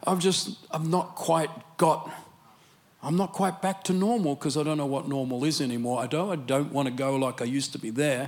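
This man speaks at a fairly quick pace with an Australian accent, his fairly high voice showing ordinary pitch variation. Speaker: preacher. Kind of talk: sermon. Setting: church.

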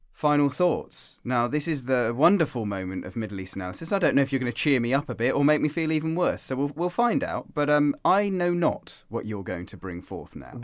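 With an English accent, a man with a fairly high pitch swings very widely in pitch, recorded very cleanly with a silent background. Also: fairly quick pace. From England. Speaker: podcast host. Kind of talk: casual chat.

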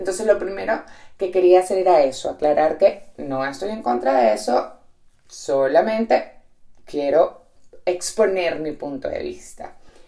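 Speaking at a fairly slow pace, a woman's loudness swings widely. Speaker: podcast host and entrepreneur. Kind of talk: reflective solo monologue. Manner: direct.

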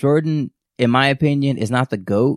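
At a moderate pace and medium pitch, a man speaks in an ordinary speaking voice, the sound dry and close with no echo. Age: 30s. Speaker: podcast host. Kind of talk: casual chat. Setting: recording at home during quarantine.

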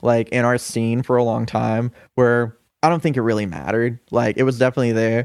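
An unremarkable speaking voice with an American accent keeps very even loudness, captured with a dry, close sound and no echo. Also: man, medium pitch for a man. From US South, Augusta, Georgia. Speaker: musician and coffee shop manager. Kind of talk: casual chat.

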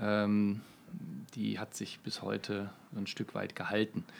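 A man speaking at a very slow pace. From Münster, North Rhine-Westphalia, Germany. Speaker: brand management executive. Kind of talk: podcast interview. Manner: frequent filler hesitations.

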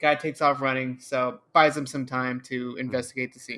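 Heard at a moderate pace in an American accent, the voice comes through on a very clean recording with a silent background. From Los Angeles. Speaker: podcast co-host. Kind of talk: casual chat.

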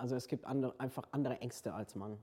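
The man's dark, mellow tone sits at a medium pitch as he talks fairly quickly. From Hungary. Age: 40s. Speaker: transgender man sharing his story. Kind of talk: interview testimony.

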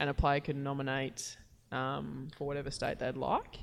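Speaking with an Australian accent, a woman has a very deep, low pitch. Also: very clean recording, silent background. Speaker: footballer and podcast co-host. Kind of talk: casual chat.

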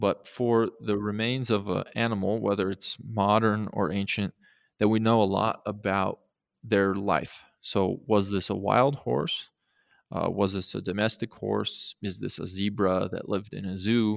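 Using a plain, everyday voice with an American accent, a man speaks at a fairly slow pace and fairly low pitch with fairly even intonation on a very clean recording with a silent background. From Montana. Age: 30s. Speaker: archaeologist and museum curator. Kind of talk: interview.

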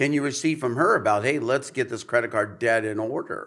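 This man has an ordinary speaking voice with medium pitch and ordinary pitch variation. The recording is very clean, with a silent background. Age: 50s. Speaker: pastor. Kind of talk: casual chat.

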